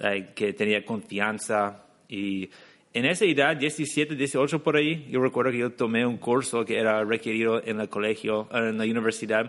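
In an English accent, a man speaks at a fairly slow pace with a medium pitch and ordinary pitch variation, the background quiet. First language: English (speaking Spanish). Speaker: English teacher and entrepreneur. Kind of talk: interview.

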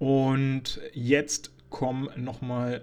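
Dark and mellow in tone, a man's voice sits at medium pitch. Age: 20s. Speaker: film critic podcaster. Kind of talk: solo film review monologue. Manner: hesitant, frequent fillers.

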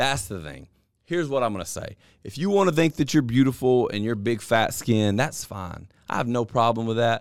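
A man speaks with a Southern US accent at a medium pitch and moderate pace. His intonation is lively, his loudness swings widely, and the recording is very clean with a silent background. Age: 30s. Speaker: podcast host. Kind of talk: casual chat.

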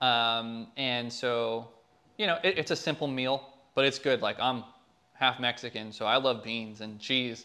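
A man with an ordinary speaking voice talks fairly slowly at a medium pitch, with ordinary pitch variation. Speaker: filmmaker. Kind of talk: casual interview chat. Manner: casual, filler-heavy.

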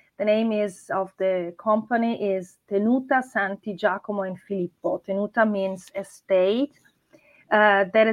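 A woman's fairly high voice, fairly slow in pace, with fairly even intonation. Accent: Italian. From Italy, Marche (Urbino). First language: Italian. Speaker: winery owner. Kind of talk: interview. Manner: halting.

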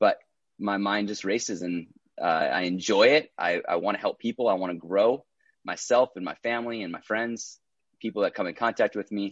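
A man with an American accent has an ordinary speaking voice, fairly low in pitch, talking at a moderate pace with ordinary pitch variation. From Minnesota. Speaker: entrepreneur and actor. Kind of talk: casual interview.

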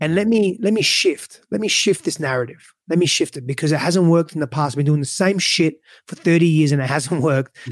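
In a very clean recording with a silent background, a man with a normal speaking voice talks at a fairly high pitch and a fairly quick pace, with ordinary pitch variation and hardly any pauses. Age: 30s. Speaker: relationship coach. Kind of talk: interview.

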